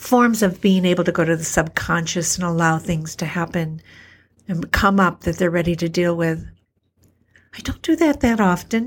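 In a very clean recording with a silent background, a woman's fairly low, somewhat breathy voice moves at a moderate pace with ordinary pitch variation. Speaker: homeopathic practitioner and podcast host. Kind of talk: solo spoken reflection.

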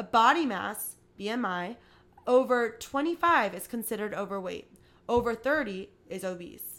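A woman uses an ordinary speaking voice, fairly high in pitch, with lively intonation and big swings in loudness. She keeps a moderate pace on a very clean recording against a silent background. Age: 20s. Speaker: podcast host. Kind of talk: reading aloud; casual monologue. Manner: casual, filler-heavy.

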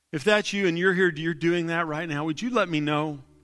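Music plays in the background. A man talks in a high pitch with ordinary pitch variation. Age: 40s. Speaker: pastor. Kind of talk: live Sunday sermon; live Sunday sermon closing in an altar call, leading a salvation prayer. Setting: church service with live congregation. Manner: animated, conversational call-and-response with the congregation.

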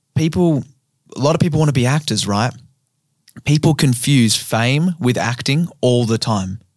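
A man with an Australian accent speaks at a moderate pace, medium pitch and ordinary pitch variation. His loudness stays very even, broken by long, frequent pauses. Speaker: comedian and podcast host. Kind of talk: casual chat.

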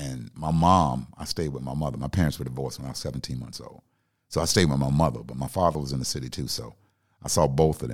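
Speaking at a very fast pace, a man with a very deep, low pitch shows vocal fry and ordinary pitch variation. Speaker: comedian turned radio personality. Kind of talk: casual chat. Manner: calm, laid back.

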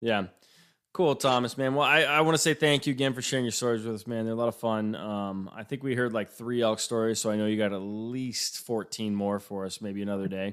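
Speaking at a fairly quick clip, this man has an ordinary speaking voice, a medium pitch and ordinary pitch variation. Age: 30s. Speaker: podcast host. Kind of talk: casual interview chat. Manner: casual, with filler words.

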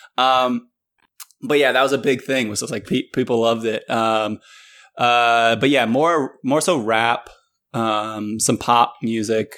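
With an American accent, a man in an unremarkable speaking voice talks at medium pitch with fairly even intonation, in a very clean recording with a silent background. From Northern Virginia. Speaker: podcast host. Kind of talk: casual interview chat.

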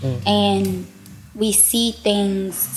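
A woman with an American accent, against noticeable background noise. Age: 20s. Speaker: psychology student. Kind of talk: casual chat. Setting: studio.

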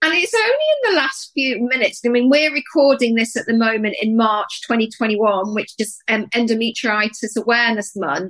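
This woman has an unremarkable speaking voice, fairly high in pitch with ordinary variation, moving at a moderate pace with hardly any pauses. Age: 50s. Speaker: podcast co-host, menopause coach. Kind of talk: casual chat.

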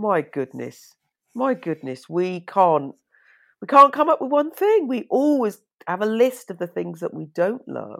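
A woman's fairly slow speech in a British accent, with big swings in loudness. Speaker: fashion designer and podcast host. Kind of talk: interview conversation. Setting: remote call. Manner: animated.

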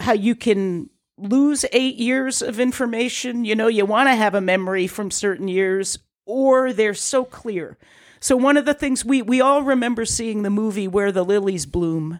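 In a very clean recording with a silent background, a woman with an American accent and a plain, everyday voice speaks at a fairly high pitch and a fairly slow pace, with ordinary pitch variation. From southeastern Connecticut. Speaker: innkeeper. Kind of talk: casual chat.

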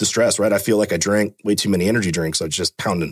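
With a Californian accent, a man talks at a fairly quick pace and a fairly low pitch with ordinary variation. The recording is very clean, with a silent background and a dry, close sound with no echo. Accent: Californian American English. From Fremont, California. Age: 30s. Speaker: police officer, canine handler and hostage negotiator. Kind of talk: casual interview conversation.

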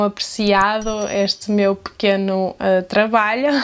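With a European Portuguese accent, a woman at medium pitch speaks at a very slow pace in monotone, flat intonation. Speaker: video creator. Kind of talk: poetry reading aloud; casual vlog talk.

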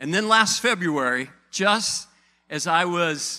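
On a very clean recording with a silent background, a man speaks in a high pitch with a bright, sharp tone. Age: 50s. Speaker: pastor. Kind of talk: sermon. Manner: animated.

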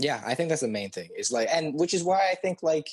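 His intonation moves in a lively way. The speaker is a man with an American accent. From California. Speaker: podcast co-host. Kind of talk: casual chat.

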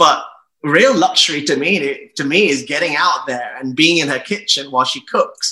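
A man in a British accent, high in pitch, at a moderate pace with ordinary pitch variation. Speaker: travel journalist and publisher. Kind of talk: casual interview.

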